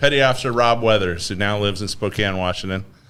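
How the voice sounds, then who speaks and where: The voice belongs to a man. His words carry audible room echo. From northern Idaho, childhood partly in Philippines and Japan. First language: Tagalog. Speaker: business executive, navy veteran. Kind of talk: podcast interview.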